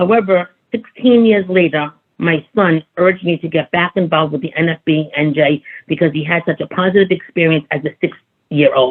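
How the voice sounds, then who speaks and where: Here a woman talks at a moderate pace. Her pitch is fairly low and varies in an ordinary way. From Brooklyn, New York. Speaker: advocacy group president. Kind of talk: seminar talk. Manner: halting, many fillers.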